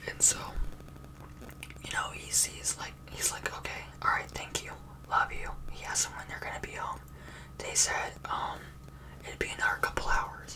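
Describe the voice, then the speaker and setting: Someone whispers at a moderate pace with long, frequent pauses, over noticeable background noise. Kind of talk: ASMR scary story told from memory in a casual, chatty way; casual talk to camera, improvised storytelling with filler words.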